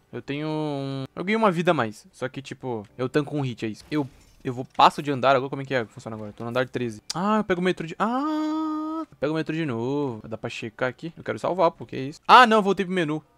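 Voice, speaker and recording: A bright, sharp tone moves at a very fast pace, with lively intonation and big swings in loudness. The sound is dry and close, with no echo. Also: man, fairly high pitch for a man. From Brazil. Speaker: gaming youtuber. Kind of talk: gameplay commentary. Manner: animated.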